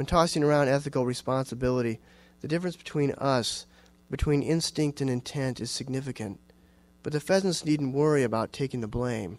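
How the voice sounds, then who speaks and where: A man with an American accent speaks at a moderate pace and medium pitch, with ordinary pitch variation and a dry sound with no echo. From Iowa, US Midwest. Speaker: writer and university teacher; university teacher. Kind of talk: audience Q&A; lecture with reading aloud. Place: hall.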